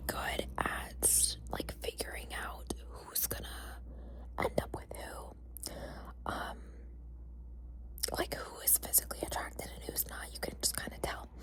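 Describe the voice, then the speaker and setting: Soft-spoken and whispering, a woman talks over noticeable background noise. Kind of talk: ASMR whisper ramble. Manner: whispered.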